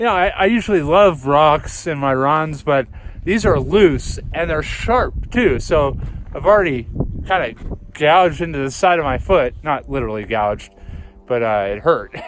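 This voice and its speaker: Very wide pitch swings from a man with a fairly high pitch, moderate pace, and noticeable background noise. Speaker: vlogger and runner. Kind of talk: casual vlog talk to camera. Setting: outdoors on a mountain. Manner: halting, stammering.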